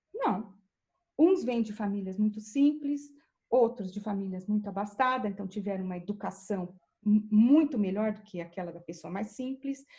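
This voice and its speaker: A woman's medium-pitched, somewhat breathy voice with a dark, mellow tone and big swings in loudness. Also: ordinary pitch variation, moderate pace. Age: 60s. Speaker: professor and researcher. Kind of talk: interview. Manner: halting.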